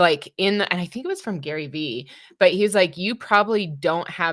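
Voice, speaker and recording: A woman with an ordinary speaking voice at a moderate pace, ordinary pitch variation, very clean recording with a silent background. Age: 30s. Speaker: podcast co-host. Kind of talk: podcast interview.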